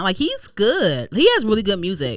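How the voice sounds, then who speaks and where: Noticeable background noise accompanies a woman speaking with an American accent. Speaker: podcast host. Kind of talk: casual chat. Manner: fast.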